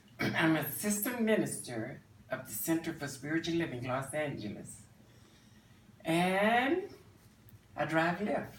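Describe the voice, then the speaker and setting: Pausing long and often, a man speaks at a fairly slow pace with a fairly high pitch and lively intonation, amid audible room echo and noticeable background noise. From Virginia. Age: 70s. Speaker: cosmetologist and assistant minister. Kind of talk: interview.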